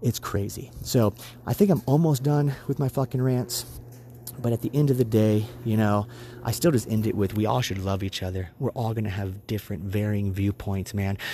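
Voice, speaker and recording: In an American accent, a man speaks at a moderate pace with a fairly low pitch and ordinary pitch variation. His tone is dark, mellow and somewhat breathy. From USA. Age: 30s. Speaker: podcast co-host. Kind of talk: solo political opinion monologue; angry profanity-laced rant near the end. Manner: heated, swearing, emphatic rant; repeats phrases for emphasis; casual, rambling with frequent fillers.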